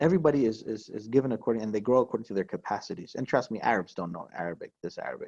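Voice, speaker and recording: Against a quiet background, a man talks at a very fast pace and a medium pitch. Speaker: Quran and Arabic teacher. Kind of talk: online lecture. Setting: video call. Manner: animated.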